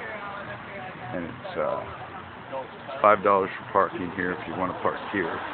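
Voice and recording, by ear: Over clear background noise, a man talks slowly at a low pitch.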